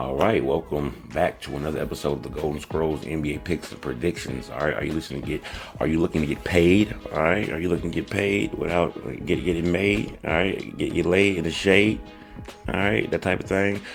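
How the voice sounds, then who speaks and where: Animated in tone, a man with a very deep, low pitch speaks at a fairly quick pace with ordinary pitch variation, over noticeable background noise. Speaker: sports betting show host. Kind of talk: sports betting picks show, casual. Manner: casual, animated.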